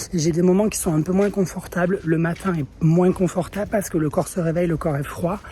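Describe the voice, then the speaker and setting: Noticeable background noise sits behind a woman with a fairly low pitch. She talks with fairly even intonation and hardly any pauses. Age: 30s. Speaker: vlogger. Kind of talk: vlog. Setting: outdoors in the street. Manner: hesitant, many fillers.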